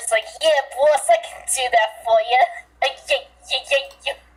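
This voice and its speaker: A put-on character voice, female-sounding and high-pitched for a woman. It moves at a moderate pace. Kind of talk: rough, street-tough.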